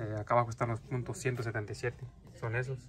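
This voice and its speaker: Over faint music in the background, a man talks at a fairly quick pace and medium pitch, his intonation monotone and flat. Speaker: airgun youtuber. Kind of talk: store walkthrough video. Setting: inside a store. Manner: loud. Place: shop. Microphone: phone near.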